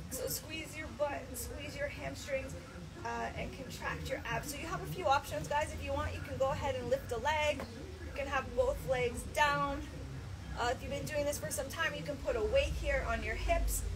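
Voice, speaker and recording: Noticeable background noise sits under a woman speaking at a moderate pace. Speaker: fitness instructor. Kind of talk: workout class instruction. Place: garden. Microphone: camera far.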